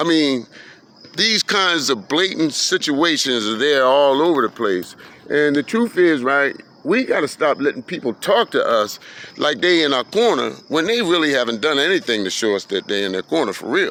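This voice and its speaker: A man at a moderate pace, fairly high in pitch, with very wide pitch swings and vocal fry. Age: 60s. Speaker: community commentator, former prisoner. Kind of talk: casual monologue video. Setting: outdoors in a park. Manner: halting, repeats words.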